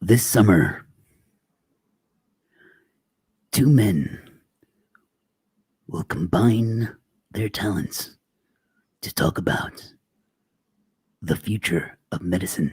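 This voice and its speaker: A man does a put-on character voice, raspy and fairly low in pitch. He speaks at a very slow pace with long, frequent pauses. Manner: dramatic, grand.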